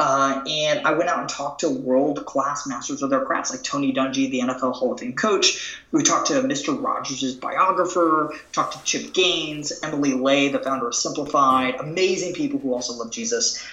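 A man talks at a moderate pace with audible room echo. Noticeable background noise runs underneath. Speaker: author and entrepreneur. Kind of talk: interview conversation.

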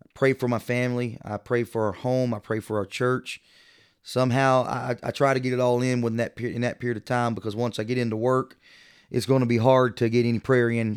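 A medium-pitched man with a Texan accent at a very fast pace, monotone and flat, on a very clean recording with a silent background. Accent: Texan American English. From small-town Texas. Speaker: church minister. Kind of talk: interview.

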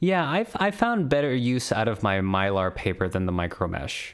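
A man talks in an ordinary speaking voice at a moderate pace. His intonation is lively. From US West Coast. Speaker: podcast co-host. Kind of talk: casual chat.

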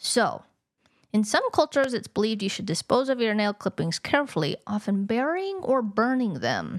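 A woman with a fairly high pitch talks at a moderate pace, her voice swinging very widely in pitch, recorded with a dry, close sound and no echo. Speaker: podcast co-host.

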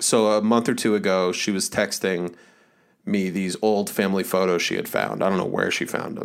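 A man's fairly low voice in a monotone, flat intonation at a moderate pace. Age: 30s. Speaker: podcast co-host. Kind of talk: casual chat. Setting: video call.

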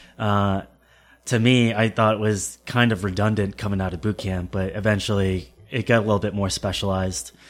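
A man with an American accent uses a normal speaking voice at a fairly low pitch. He speaks at a fairly quick pace with fairly even intonation on a very clean recording with a silent background. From Connecticut, US. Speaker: Marine infantry veteran. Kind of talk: casual interview conversation.

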